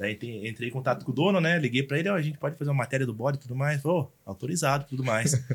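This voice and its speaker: Barely pausing, a man talks at a very fast pace in a somewhat breathy voice. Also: medium pitch for a man, ordinary pitch variation. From interior of São Paulo state, Brazil. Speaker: social media influencer. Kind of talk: casual podcast interview.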